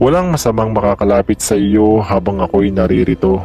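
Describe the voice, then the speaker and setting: Against clear background noise, a man with a fairly low pitch uses a put-on character voice that is soft-spoken and breathy, talking at a fairly quick pace. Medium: read story. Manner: quiet, coaxing.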